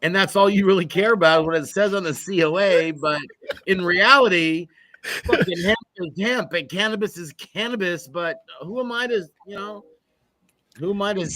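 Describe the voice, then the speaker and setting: A raised, projected voice keeps a moderate pace with ordinary pitch variation. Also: man, high pitch for a man. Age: 60s. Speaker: podcast host. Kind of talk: casual chat.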